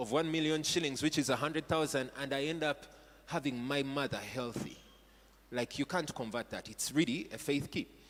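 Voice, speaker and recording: Speaking at a moderate pace, a man talks with a Ugandan accent. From Uganda (Buganda). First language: Luganda. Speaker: pastor. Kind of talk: sermon. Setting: church stage with audience. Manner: animated.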